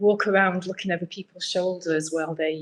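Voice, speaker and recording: A woman speaks with a British accent. Her pitch sits fairly low for a woman, and her pace is fairly quick. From UK. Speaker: UX researcher. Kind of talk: presentation. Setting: meetup event with audience.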